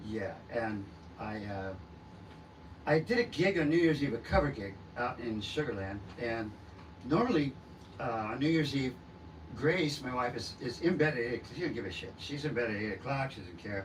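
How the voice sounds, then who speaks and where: A man speaks at a medium pitch and a moderate pace, somewhat breathy, with lively intonation. Long, frequent pauses break up his speech, and room echo is audible. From Southern California. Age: 60s. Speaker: rock singer-songwriter. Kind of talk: interview. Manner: halting, many fillers.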